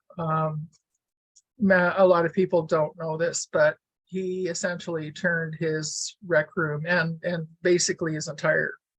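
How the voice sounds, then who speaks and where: A woman speaks fairly slowly in a fairly low pitch with monotone, flat intonation. The sound is dry and close, with no echo. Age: 70s. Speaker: weaver and author. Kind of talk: casual talk to an online audience.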